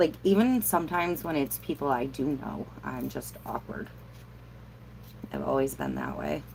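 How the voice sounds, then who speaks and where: At a moderate pace, a woman with an American accent speaks with long, frequent pauses. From New York State. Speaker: crafter livestreaming Q&A. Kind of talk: casual livestream chat. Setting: alone in a camper, livestream. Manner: casual, filler-heavy.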